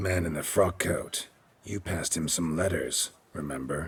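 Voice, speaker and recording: Raspy and very deep, a man's put-on character voice moves at a moderate pace. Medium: video game. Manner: terse, clipped.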